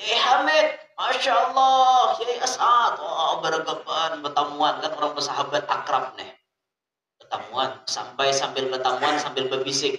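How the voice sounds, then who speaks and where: In a South Kalimantan accent, the speaker moves at a fairly slow pace with very wide pitch swings. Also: man, fairly high pitch for a man. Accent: Banjar, Kalua dialect. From South Kalimantan, Indonesia. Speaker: Islamic cleric, preacher. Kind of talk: religious sermon.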